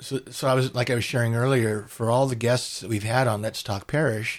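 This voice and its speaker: A man with an American accent and an unremarkable speaking voice, fairly even intonation, moderate pace, and a very clean recording with a silent background. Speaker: podcast host. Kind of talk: interview, casual chat.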